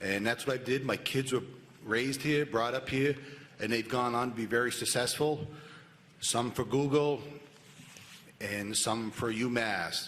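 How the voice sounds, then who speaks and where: The speech moves at a fairly slow pace with long, frequent pauses, fairly even intonation and very even loudness, over noticeable background noise. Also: man, medium pitch for a man. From New Hampshire, Cheshire County. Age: 50s. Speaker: police officer, sheriff candidate. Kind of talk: candidate statement.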